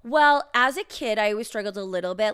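A woman speaks with a Western Canadian accent. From Canada, rural Alberta. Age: 30s. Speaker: podcast co-host. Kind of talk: casual chat.

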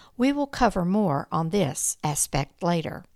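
At a fairly slow pace, an unremarkable speaking voice comes through in a very clean recording with a silent background. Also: woman. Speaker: true-crime podcast narrator. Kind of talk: true-crime narration, scripted storytelling. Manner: measured, even-paced, storytelling delivery; serious, somewhat formal tone.

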